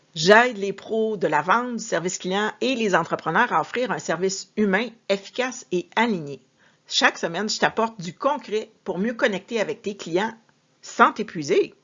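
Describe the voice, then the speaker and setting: Using a normal speaking voice, a woman talks at a moderate pace with lively intonation and a medium pitch. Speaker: sales and customer service coach. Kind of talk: tutorial.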